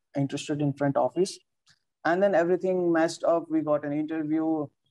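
Against a quiet background, a man with a dark, mellow tone and fairly high pitch speaks at a fairly quick pace in a monotone, flat intonation. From Nepal. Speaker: hotel front office worker; interviewee. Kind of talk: interview. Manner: hesitant, many fillers. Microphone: video call.

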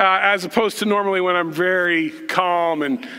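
A man raises and projects his voice. He keeps a moderate pace. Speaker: pastor. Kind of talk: sermon. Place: church. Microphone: headset.

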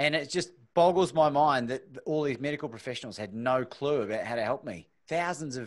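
Over a quiet background, a man talks at a fairly quick pace in a fairly high voice with ordinary pitch variation. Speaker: podcast host. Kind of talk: casual interview. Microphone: studio mic.

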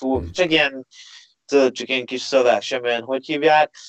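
Over a quiet background, a man at a medium pitch talks at a fairly quick pace. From Hungary. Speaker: MMA fighter; guest. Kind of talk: casual chat. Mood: cheerful, animated storytelling. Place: home room. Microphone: video call.

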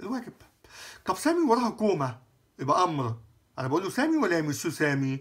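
Very wide pitch swings from a man talking at a fairly quick pace. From Egypt. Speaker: French teacher. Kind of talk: lecture. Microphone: phone near.

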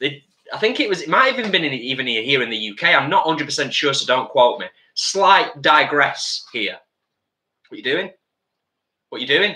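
With audible room echo, a man at medium pitch talks at a moderate pace in a bright, sharp tone, making big pitch swings and long, frequent pauses.

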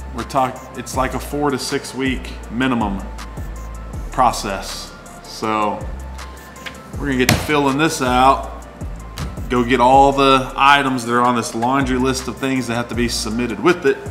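A fairly slow pace with long, frequent pauses over clear music in the background. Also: man. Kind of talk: casual vlog chat. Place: bar.

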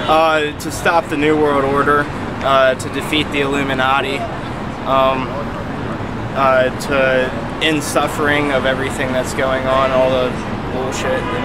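A man talks at a fairly slow pace, leaving long, frequent pauses, while loud background noise persists. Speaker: interviewee. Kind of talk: interview answer. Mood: earnest, intense. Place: street.

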